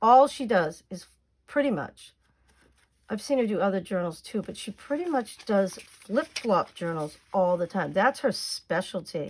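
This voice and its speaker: With a Boston accent, a woman of medium pitch speaks at a fairly slow pace and with lively intonation on a very clean recording with a silent background. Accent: thick Boston. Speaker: crafting YouTuber. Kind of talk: crafting tutorial. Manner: casual, chatty.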